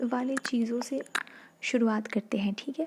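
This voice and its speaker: Noticeable background noise is present. A soft-spoken woman talks in a high pitch with ordinary pitch variation. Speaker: ASMR youtuber. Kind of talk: softspoken ASMR talk. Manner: halting.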